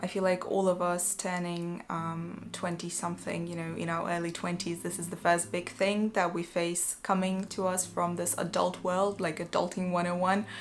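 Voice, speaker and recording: A woman's fairly low, monotone voice with flat intonation, at a moderate pace with hardly any pauses. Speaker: vlogger. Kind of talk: casual chat. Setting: home, evening. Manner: quiet; hesitant, many fillers.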